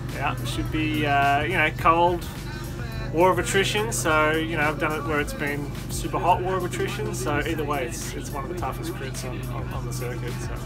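A man keeps a moderate pace while clear music runs in the background. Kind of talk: interview answer. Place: home room. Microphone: phone near.

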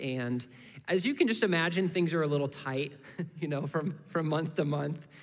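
At a moderate pace, a man with an American accent talks with ordinary pitch variation. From US Midwest (Indiana). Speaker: guest preacher from a missions ministry. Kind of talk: sermon. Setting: church service. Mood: calm, personal, earnest. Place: church. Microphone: headset.

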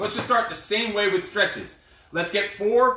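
A man speaks in a raised, projected voice. Room echo is audible under light background noise. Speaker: fitness coach. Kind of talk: workout instruction. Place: gym. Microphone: camera far.

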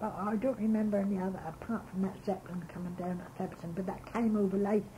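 A woman speaks at a very fast pace. Her intonation is monotone and flat, with light background noise. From Suffolk, England. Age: 80s+. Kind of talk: reminiscence interview. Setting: home tape recording. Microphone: old recording.

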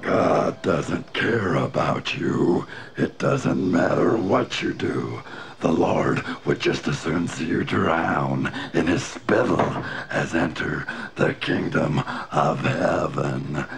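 Very slowly, a man talks in a very deep, low voice. Clear background noise can be heard. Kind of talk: hellfire sermon. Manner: fire-and-brimstone ranting, furious.

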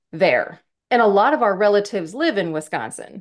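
A woman talks at a medium speed with little sound behind her. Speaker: podcast co-host. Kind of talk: casual podcast chat. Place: home room. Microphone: webcam.

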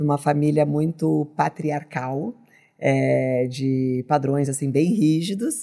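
Over a quiet background, a woman speaks very slowly in a very deep, low pitch, her tone dark and mellow and her pitch variation ordinary. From southern Brazil, Rio Grande do Sul. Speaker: business leader, political scientist; podcast guest. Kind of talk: interview. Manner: hesitant, many fillers. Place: studio. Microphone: studio mic.

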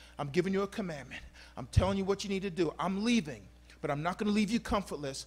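The voice has ordinary pitch variation and an animated, playful tone, delivered at a very fast pace. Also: man. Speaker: pastor. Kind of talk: sermon. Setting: church. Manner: warm, exhortative. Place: church. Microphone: handheld.

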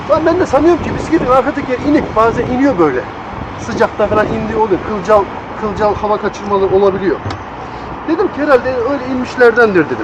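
A man with an extremely high pitch and lively intonation talks at a fairly quick pace, leaving long, frequent pauses. Background noise is noticeable. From Tokat, Turkey. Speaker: international truck driver. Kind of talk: casual vlog talk to camera. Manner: informal, slangy, chatty.

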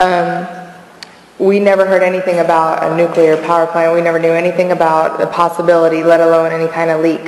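A woman at a fairly quick pace, with audible room echo. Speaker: navy sailor. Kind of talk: testimony. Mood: calm, serious. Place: hall. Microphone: podium.

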